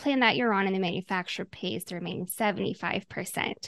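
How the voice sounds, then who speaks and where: A woman speaks with a Midwestern American accent and ordinary pitch variation. The background is quiet. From Omaha, Nebraska, US Midwest. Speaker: health insurance agent. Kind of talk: interview.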